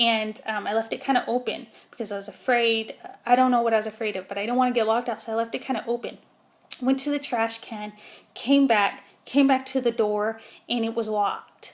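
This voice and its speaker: Mumbling at a fairly quick pace, a woman speaks in a fairly high pitch with fairly even intonation. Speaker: vlogger. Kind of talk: casual vlog monologue. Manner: hesitant, many fillers.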